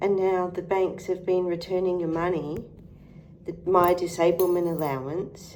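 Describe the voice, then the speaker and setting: In an Australian accent, a woman speaks at a moderate pace in a fairly low pitch. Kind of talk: political rant to camera.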